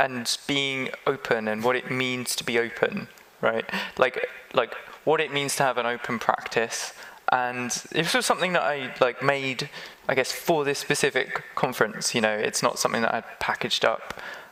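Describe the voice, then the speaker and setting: Over noticeable background noise, a man speaks with a London accent at a moderate pace. His pitch is medium and his intonation fairly even. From England, London. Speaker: conference keynote speaker. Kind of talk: live podcast interview.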